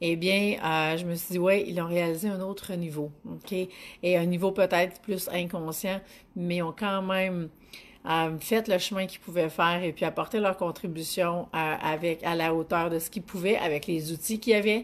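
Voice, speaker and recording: At a fairly low pitch and moderate pace, a woman talks in an unremarkable speaking voice with fairly even intonation. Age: 40s. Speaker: business coach. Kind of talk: live stream talk. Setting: online live video broadcast. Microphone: phone near.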